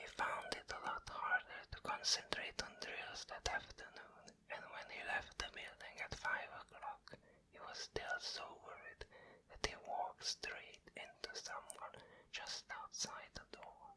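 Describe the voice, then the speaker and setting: A man's whispering at a fairly slow pace. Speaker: ASMR whisper narrator. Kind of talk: whispered bedtime story reading of a novel chapter. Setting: binaural microphone, close to the ear. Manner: whispered, soft, slow.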